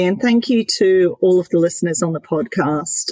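In a dry, close recording with no echo, a woman speaks at a moderate pace in a fairly low voice with ordinary pitch variation. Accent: Australian. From Queensland, Australia. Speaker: company CEO. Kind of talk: interview.

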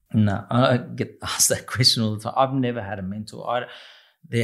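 This man keeps to a moderate pace on a very clean recording with a silent background. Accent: Australian. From Australia. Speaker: restaurant owner and pizza chef. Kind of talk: interview.

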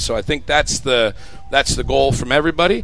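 A man's bright, sharp tone with vocal fry. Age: 40s. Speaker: college soccer coach. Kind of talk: radio interview. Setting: live broadcast on campus. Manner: hesitant, many ums.

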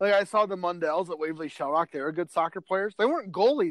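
An animated tone and lively intonation mark this voice with an American accent, recorded dry and close with no echo. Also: man. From northwest Iowa. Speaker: sports editor. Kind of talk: casual sports chat.

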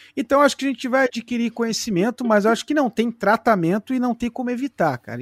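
A man with an extremely high pitch and ordinary pitch variation races along at a very fast pace with hardly any pauses, captured as a dry, close sound with no echo on a very clean recording with a silent background. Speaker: true crime podcaster. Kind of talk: casual chat.

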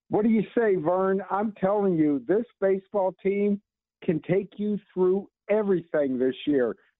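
Speaking at a fairly slow pace, a man uses a high pitch with ordinary pitch variation and very even loudness. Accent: American. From Kansas City area. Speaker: caller. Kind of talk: radio call-in. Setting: phone call. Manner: agitated.

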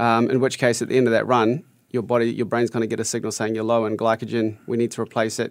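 A man with a New Zealand accent talks at a very fast pace. His intonation is monotone and flat. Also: medium pitch for a man. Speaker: fitness coach, former triathlete. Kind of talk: radio interview.

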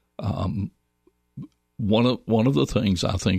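Vocal fry runs through a man's moderate-paced speech, recorded dry and close with no echo. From US South, Northwest Georgia. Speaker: licensed mental health counselor. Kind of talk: interview. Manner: halting.

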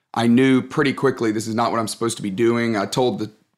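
On a very clean recording with a silent background, a medium-pitched man speaks very fast in a Southern US accent. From Alabama, US South. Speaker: pastor and leadership author. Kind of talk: interview.

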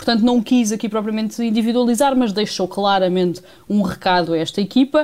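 A woman speaks at a moderate pace in a plain, everyday voice, her pitch moving in an ordinary way. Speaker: sports reporter. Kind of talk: radio report. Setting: remote link from Munich.

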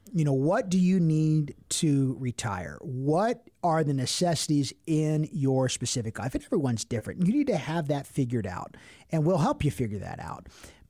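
A somewhat breathy, fairly high male voice with an American accent and lively intonation, recorded very cleanly over a silent background. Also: moderate pace, hardly any pauses. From Cincinnati, Ohio. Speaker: financial advisor. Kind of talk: radio talk show. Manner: animated.

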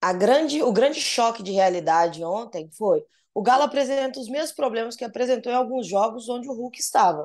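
This woman has an unremarkable speaking voice with lively intonation. She talks at a moderate pace against a quiet background. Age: 30s. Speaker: football journalist. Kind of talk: casual chat.

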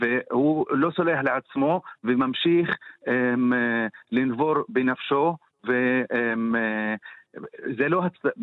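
A man with an Arabic accent, medium pitch, and a very slow pace. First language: Arabic (speaking Hebrew). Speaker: poet and translator. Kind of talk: radio interview.

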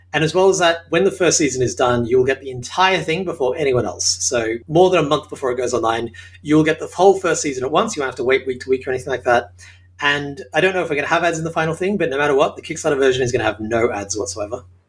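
A man with an Australian accent speaks very fast, his pitch fairly high. His intonation is lively and his voice somewhat breathy. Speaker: sitcom writer and show creator. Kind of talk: interview. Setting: home apartment.

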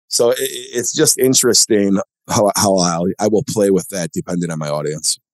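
Dry and close with no echo, the recording has a man with an ordinary speaking voice and fairly low pitch talking at a moderate pace with lively intonation. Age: 40s. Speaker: venture capitalist and former college football player. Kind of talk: casual interview chat.

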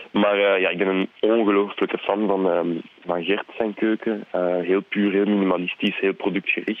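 In a monotone, flat intonation, a man talks at a very even loudness. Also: fairly low pitch for a man, moderate pace. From Belgium, Flanders (francophone family, Brussels/Charleroi roots). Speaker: TV chef. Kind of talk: casual chat. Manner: hesitant, many fillers.

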